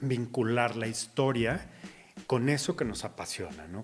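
A man talks rather slowly while music plays behind him. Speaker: car show host. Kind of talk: casual interview.

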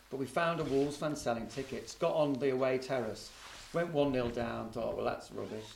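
Over noticeable background noise, a man speaks at medium pitch and a fairly quick pace with fairly even intonation. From Liverpool, England. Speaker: football journalist. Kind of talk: casual chat.

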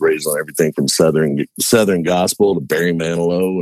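A man with a very deep, low pitch and a resonant voice speaks at a moderate pace. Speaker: musician interviewed as a guest. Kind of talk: casual, folksy, rural grammar. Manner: relaxed, dry humor.

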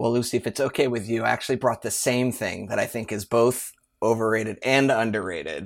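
In a very clean recording with a silent background, a man talks at a fairly quick pace. His medium-pitched voice keeps fairly even intonation. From US. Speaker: marketing executive guest. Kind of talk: casual interview. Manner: fast talker; filler-heavy.

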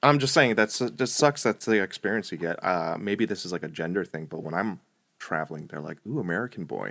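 A man with a New Jersey accent, fairly low in pitch, lively in intonation and with big swings in loudness, on a very clean recording with a silent background. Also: fairly quick pace. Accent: mild New Jersey. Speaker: product designer. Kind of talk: casual chat.

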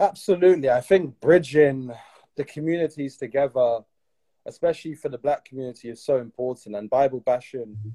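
The tone is dark and mellow, with big swings in loudness and ordinary pitch variation. Delivery is at a fairly quick pace in a dry, close sound with no echo. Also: man, medium pitch for a man. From UK. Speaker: podcast host. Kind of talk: interview conversation. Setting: Instagram Live.

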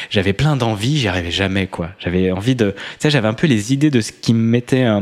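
His pitch is medium. The man moves along at a fairly quick pace. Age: 30s. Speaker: coach and podcaster. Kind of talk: casual chat.

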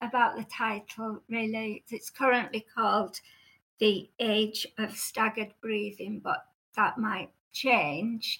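A woman's fairly high, bright, sharp voice at a fairly slow pace. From Cumbria, northern England. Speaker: former clinical psychologist and novelist. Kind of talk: casual interview conversation. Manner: halting, hesitant with fillers.

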